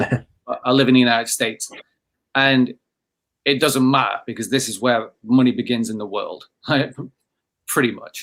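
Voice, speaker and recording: A man with an English accent, medium pitch, fairly even intonation, a moderate pace, long, frequent pauses and big swings in loudness. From England. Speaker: company founder and CEO. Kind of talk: podcast conversation.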